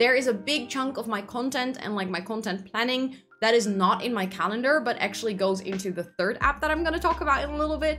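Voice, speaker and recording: With music playing behind her, a woman with a Dutch accent talks very fast in a fairly high voice, barely pausing. Her intonation is lively. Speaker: productivity content creator. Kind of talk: tutorial. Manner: casual, conversational.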